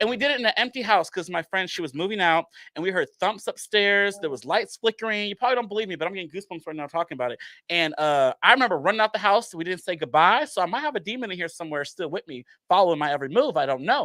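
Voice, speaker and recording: In a very clean recording with a silent background and a dry, close sound with no echo, a man projects a raised, high-pitched voice at a very fast pace, his tone bright, sharp and animated and his intonation lively. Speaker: horror movie fan, theatre channel creator. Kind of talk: casual chat.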